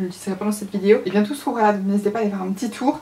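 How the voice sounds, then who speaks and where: A woman at a medium pitch talks with fairly even intonation over noticeable background noise. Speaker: beauty youtuber. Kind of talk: makeup tutorial. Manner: fast.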